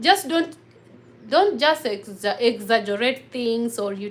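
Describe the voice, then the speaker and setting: A somewhat breathy woman speaks in a fairly high pitch with ordinary pitch variation. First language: local African mother tongue. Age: 30s. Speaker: vlogger. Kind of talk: livestream chat. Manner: animated.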